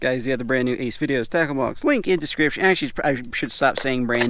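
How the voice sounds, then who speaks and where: A man talks at a very fast pace with ordinary pitch variation. The sound is dry with no echo, and there is noticeable background noise. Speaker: fishing vlogger. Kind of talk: casual vlog chat. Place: boat. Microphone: phone near.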